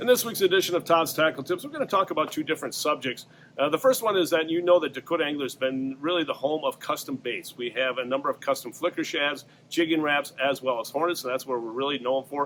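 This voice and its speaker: Fairly high in pitch, a man rattles along at a very fast pace. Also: ordinary pitch variation. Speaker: fishing tackle shop owner and fishing reporter. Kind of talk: weekly fishing report to camera. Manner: casual, conversational with many fillers.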